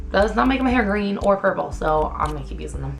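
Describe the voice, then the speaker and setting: Over music in the background, a woman talks at a very fast pace in an animated tone. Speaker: beauty vlogger. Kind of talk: casual chat.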